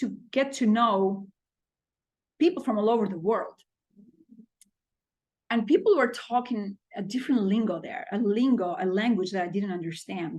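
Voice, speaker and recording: Her fairly high, somewhat breathy voice moves at a fairly slow pace with lively intonation as the woman speaks. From Albania. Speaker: business consultant and public speaker. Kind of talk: podcast interview answer.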